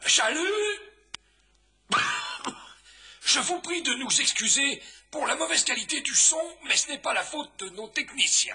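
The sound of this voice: This is a put-on character voice, high-pitched and hoarse. It moves at a moderate pace with long, frequent pauses.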